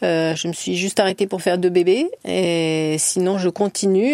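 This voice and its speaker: A woman speaks in a fairly low voice with a dark, mellow tone, ordinary pitch variation, and a dry, close sound with no echo. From France, Orléans. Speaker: fencing club president. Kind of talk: radio interview. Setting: studio.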